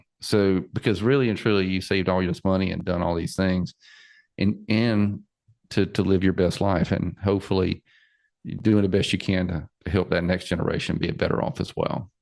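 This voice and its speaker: A very deep, low-voiced man with a Southern US accent and ordinary pitch variation. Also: moderate pace, quiet background. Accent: Southern twang. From South Carolina. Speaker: financial planner podcast host. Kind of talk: interview podcast. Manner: repetitive, stammering.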